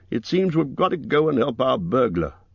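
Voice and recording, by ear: A man puts on a character voice with big pitch swings and vocal fry. There's a slightly husky edge, and he keeps a moderate pace. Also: medium pitch for a man.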